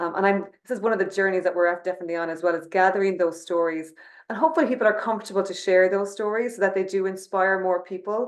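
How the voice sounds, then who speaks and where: A woman at a medium pitch talks at a very fast pace, her intonation fairly even. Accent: Irish. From Ireland. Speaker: company CEO. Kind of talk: webinar conversation.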